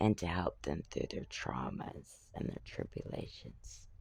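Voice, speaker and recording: Whispering, a man speaks at a fairly slow pace. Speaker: talk show host. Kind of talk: solo talk show monologue. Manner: casual, conversational.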